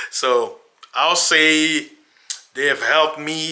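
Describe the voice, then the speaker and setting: A man with an African accent and ordinary pitch variation. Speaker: religious YouTuber. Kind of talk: casual monologue to camera. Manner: animated.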